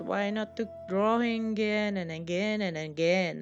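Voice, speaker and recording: Over music in the background, a woman with a non-native accent speaks at a fairly slow pace, her medium pitch following fairly even intonation. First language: non-native English speaker. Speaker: hobby artist. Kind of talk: casual voice-over commentary on drawing video.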